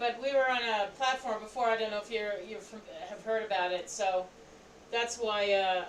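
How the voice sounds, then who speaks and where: A woman talks with an American accent at a fairly high pitch. Noticeable background noise sits behind her. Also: fairly even intonation, moderate pace. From New York. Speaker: hobby live streamer co-host. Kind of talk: casual chat.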